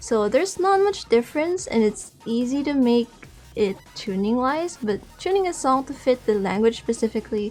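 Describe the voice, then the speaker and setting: A woman talks at a moderate pace. She speaks with a Filipino accent. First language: Tagalog. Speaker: music producer. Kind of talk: interview.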